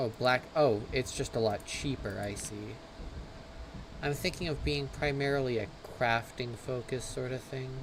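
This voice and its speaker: Soft-spoken, a man talks at a moderate pace with ordinary pitch variation. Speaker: gaming livestreamer. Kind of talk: live gameplay commentary. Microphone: mic volume set too low, quiet.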